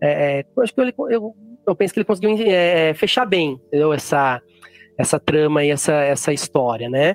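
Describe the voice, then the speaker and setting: With music in the background, a man speaks in a fairly high pitch with lively intonation, the sound dry and close with no echo. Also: moderate pace. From São Paulo interior, Jundiaí. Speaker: writer and geography teacher. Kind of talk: interview. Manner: halting, many fillers.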